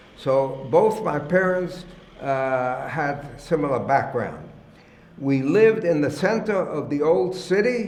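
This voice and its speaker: A man's very slow speech at fairly high pitch with lively intonation, plus audible room echo and noticeable background noise. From Germany, Cologne. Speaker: oral history interviewee. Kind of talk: oral history testimony. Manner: halting, many fillers.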